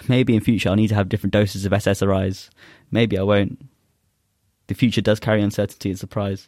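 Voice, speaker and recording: In a London accent, a man speaks very fast in a fairly low pitch with monotone, flat intonation, yet leaves long, frequent pauses. The recording is very clean, with a silent background. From South London, England. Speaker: spoken word poet. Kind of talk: poetry performance; casual interview chat.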